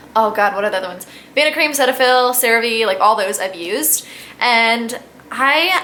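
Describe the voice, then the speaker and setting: With lively intonation, a woman speaks at a fairly high pitch over noticeable background noise. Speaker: beauty vlogger. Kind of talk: casual product review vlog. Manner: fast; chatty, rambling with fillers.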